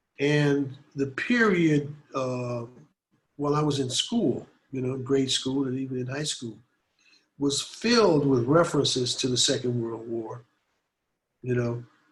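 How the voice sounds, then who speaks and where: A man with an American accent speaks in a fairly high, somewhat breathy voice with ordinary pitch variation. He leaves long, frequent pauses. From US Midwest, Detroit. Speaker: anti-war activist and artist. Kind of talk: interview. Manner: conversational, many fillers.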